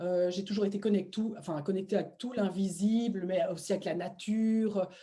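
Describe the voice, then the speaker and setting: Noticeable background noise runs under a woman's voice. She speaks at a medium pitch with a Belgian accent. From Belgium. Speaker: shamanic practitioner, former medical sales rep. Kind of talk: interview testimony. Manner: animated, many hesitations.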